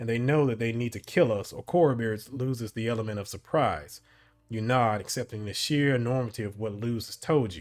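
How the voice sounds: The voice has a natural reading quality.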